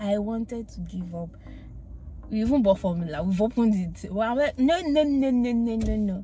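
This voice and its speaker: Faint music plays behind a woman whose voice sounds dry, with no echo. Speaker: vlogger. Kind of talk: casual vlog chat. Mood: cheerful, laughing, reflective. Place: car. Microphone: phone near.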